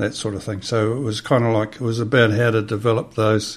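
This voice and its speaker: A man talks with a New Zealand accent. His pitch is fairly low. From New Zealand, Hawke's Bay. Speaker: designer. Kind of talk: interview. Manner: halting.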